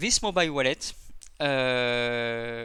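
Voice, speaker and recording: Bright, sharp male tone with ordinary pitch variation. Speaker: crypto project team member. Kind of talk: live AMA Q&A session. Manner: hesitant, many fillers.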